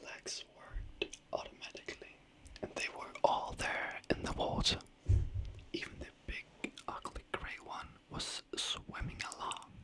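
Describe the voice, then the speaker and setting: A woman whispers very slowly in a relaxed tone. Noticeable background noise sits behind her. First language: not English. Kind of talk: whispered fairy tale storytelling, sleep story. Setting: ASMR microphone recording, late night. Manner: whispered, soft, slow, relaxed.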